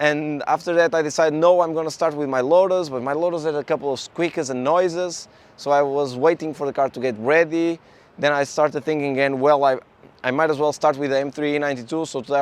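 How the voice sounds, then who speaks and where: A man with a Portuguese accent talks at a very fast pace with a fairly high pitch. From Portugal. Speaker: car YouTuber. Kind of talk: casual vlog talk.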